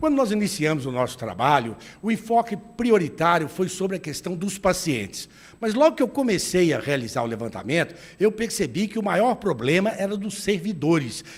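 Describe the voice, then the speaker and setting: Speaking with a Minas Gerais accent, a man uses a high pitch with very wide pitch swings. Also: moderate pace. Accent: mineiro accent, noticeable. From Minas Gerais, Brazil (Belo Horizonte). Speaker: retired doctor and lawyer, health commission head. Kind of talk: TV interview.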